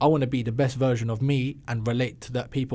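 A man talks with an English accent at a medium pitch. His tone is dark and mellow, on a very clean recording with a silent background. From London, England. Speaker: musician. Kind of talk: casual chat. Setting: studio.

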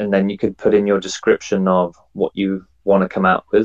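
A man with an English accent, in a dry, close recording with no echo. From England. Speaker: NFT project founder and artist. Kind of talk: interview.

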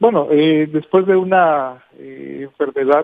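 Fairly even intonation from a man with a fairly high-pitched voice. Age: 50s. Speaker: physical education teacher. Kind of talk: interview. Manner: halting.

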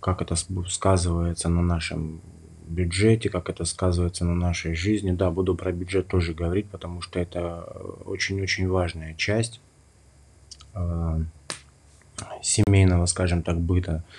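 This man's very deep, low voice stays monotone and flat, broken by long, frequent pauses. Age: 30s. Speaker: podcast host, stay-at-home dad. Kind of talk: solo podcast monologue.

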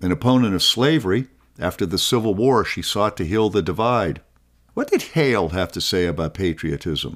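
A man with a normal speaking voice, fairly low in pitch, at a moderate pace, on a very clean recording with a silent background. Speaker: podcast host and scholar. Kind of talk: educational talk, scripted narration. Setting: studio. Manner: formal, measured.

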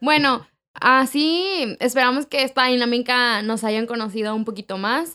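Fairly slow speech from a woman, high in pitch, with ordinary pitch variation. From Mexico City. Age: 20s. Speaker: podcast co-host. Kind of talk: casual chat.

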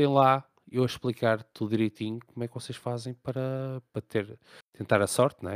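The speaker has a European Portuguese accent and a moderate pace. The sound is dry and close, with no echo. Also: man. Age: 30s. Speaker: gaming podcast host. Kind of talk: casual chat.

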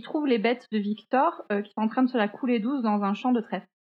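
This woman has an ordinary speaking voice, fairly high in pitch, with ordinary pitch variation. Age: 20s. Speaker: podcast co-host, graphic designer. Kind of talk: true-crime storytelling in casual chat. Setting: remote recording.

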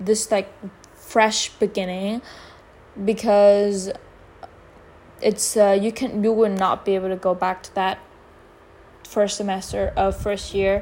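This woman has a Vietnamese accent and a medium pitch. She speaks at a fairly slow pace. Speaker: podcaster. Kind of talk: casual monologue. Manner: halting.

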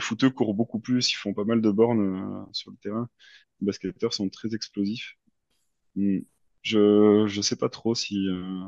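Flat and monotone, a man talks at a fairly slow pace and a fairly low pitch, in a dry, close sound with no echo against a quiet background. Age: 30s. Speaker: amateur triathlete. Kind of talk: interview.

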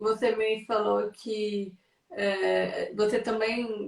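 A woman's fairly high-pitched voice. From São Paulo, Brazil. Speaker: content creator and live-stream host. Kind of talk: live video interview.

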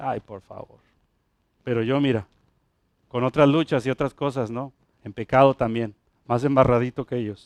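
A man's animated tone with long, frequent pauses and big swings in loudness, in a dry, close sound with no echo. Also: medium pitch for a man, moderate pace. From Puerto Rico. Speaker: pastor. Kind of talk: sermon, preaching to a congregation with a friendly, teaching tone. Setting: church with congregation. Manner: animated, conversational, direct address to the congregation with humor and repetition.

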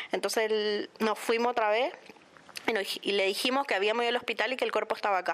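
A woman talks very fast at a fairly high pitch. Noticeable background noise sits behind her. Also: ordinary pitch variation. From Puerto Iguazú, Misiones, Argentina. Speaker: victim's relative. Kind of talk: testimony. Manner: halting.

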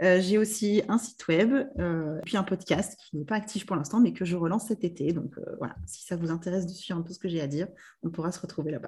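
A woman with a dark, mellow, somewhat breathy tone talks at a fairly quick pace, her loudness swinging widely. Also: fairly low pitch for a woman, ordinary pitch variation. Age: 30s. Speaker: business mentor. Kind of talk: casual interview.

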